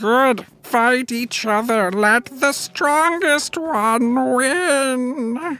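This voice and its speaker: Using a put-on character voice with fairly high pitch, the speaker moves at a very slow pace with hardly any pauses. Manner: scheming.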